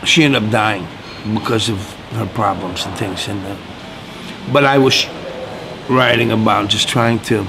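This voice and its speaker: Long, frequent pauses break up a man's fairly low-pitched speech, heard with audible room echo and noticeable background noise. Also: ordinary pitch variation, moderate pace. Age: 60s. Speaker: blues guitarist. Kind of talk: interview. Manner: casual, halting.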